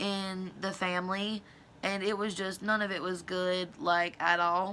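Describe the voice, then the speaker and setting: A woman with a Southern US accent speaks at a moderate pace in a medium pitch, her intonation flat and monotone and her tone bright and sharp. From US South. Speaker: beauty and true crime YouTuber. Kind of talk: casual storytelling while doing makeup. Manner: loud.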